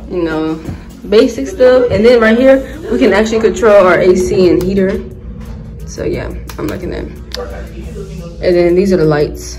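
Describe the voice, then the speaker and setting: Clear music plays in the background as a woman speaks at a moderate pace with long, frequent pauses. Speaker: vlogger. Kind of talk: casual vlog chat. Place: home room. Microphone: phone near.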